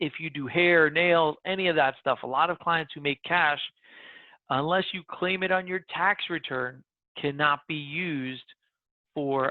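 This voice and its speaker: Someone with an American accent speaks at a fairly slow pace with long, frequent pauses. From Brooklyn, New York. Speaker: mortgage lender. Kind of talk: seminar presentation. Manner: loud.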